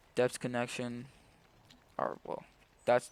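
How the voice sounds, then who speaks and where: A man with a medium-pitched voice speaks in a relaxed tone. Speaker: gaming video creator. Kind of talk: casual gameplay commentary. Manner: casual, relaxed.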